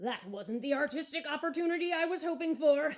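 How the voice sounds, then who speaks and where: In a put-on character voice, a woman speaks high, raised and projected, at a fairly quick pace. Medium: read story. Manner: polite, earnest.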